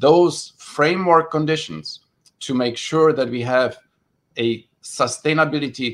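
A man's fairly high, unremarkable speaking voice, with ordinary pitch variation and a moderate speed. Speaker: policy official. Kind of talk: panel discussion.

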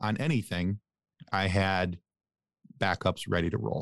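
The sound is dry and close with no echo as a man speaks at a fairly low pitch and a fairly slow pace, recorded very cleanly over a silent background. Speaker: podcast host. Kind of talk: casual interview chat. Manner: halting, many fillers.

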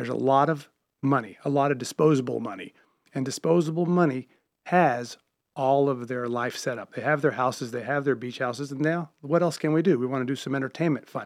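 A man with an American accent and a fairly high pitch talks at a fairly quick pace in an ordinary speaking voice, with ordinary pitch variation. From US South, Charlotte, North Carolina. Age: 50s. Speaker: restaurateur and comedy club owner. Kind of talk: radio interview.

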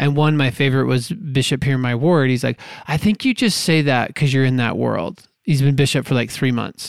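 A man with an unremarkable speaking voice talks at a fairly quick pace, his medium pitch showing ordinary variation and his loudness very even. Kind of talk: casual interview.

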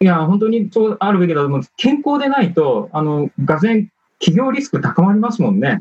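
Recorded dry and close with no echo, a man talks at a fairly quick pace in a high voice with very wide pitch swings. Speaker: management consultant. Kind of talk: panel discussion. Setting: video call. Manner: formal.

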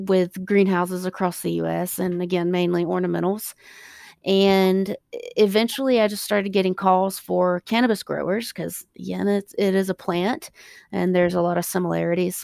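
At a moderate pace, a woman with an American accent is heard in a dry, close sound with no echo on a very clean recording with a silent background. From US South, South Carolina. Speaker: plant scientist and hemp company founder. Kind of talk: interview. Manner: hesitant, many fillers.

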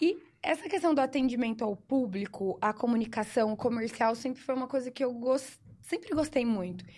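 A woman speaks at a high pitch in a dark, mellow tone. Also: lively intonation, moderate pace. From Brazil, São Paulo interior (Sertãozinho). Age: 20s. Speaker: lawyer and shooting instructor. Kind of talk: casual chat.

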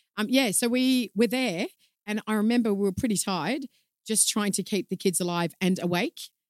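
On a very clean recording with a silent background and a dry, close sound with no echo, a woman with an Australian accent speaks at medium pitch and a moderate pace with ordinary pitch variation. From Australia, Melbourne. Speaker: communications consultant and yoga instructor. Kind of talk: casual chat. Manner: says um a lot.

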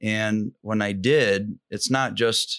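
Here is a man with an ordinary speaking voice and an American accent. His pitch is fairly low. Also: dry, close sound with no echo, quiet background. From Michigan, US. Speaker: business coach. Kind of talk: casual interview.

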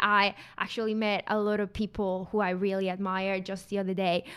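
A woman talks at a moderate pace in a Mexican accent. Her medium-pitched voice has a bright, sharp tone. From Mexico. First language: Spanish. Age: 20s. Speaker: carbon consultant. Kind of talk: casual interview. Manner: laughs often.

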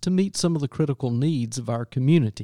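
A man with a Southern US accent and a dark, mellow tone talks at a fairly quick pace, the sound dry and close with no echo on a very clean recording with a silent background. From US South, upstate South Carolina. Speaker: church minister, podcast host. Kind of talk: scripted narration; interview.

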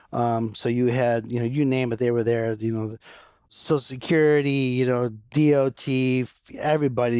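In a normal speaking voice, a man talks at a moderate pace and medium pitch with fairly even intonation, on a very clean recording with a silent background. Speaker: information governance and records manager. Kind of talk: podcast interview.

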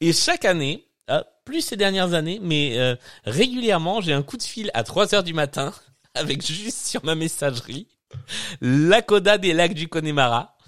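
Pausing long and often, a man with a high pitch speaks at a fairly slow pace with lively intonation. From southern France. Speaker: podcast host. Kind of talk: casual chat. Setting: live stream.

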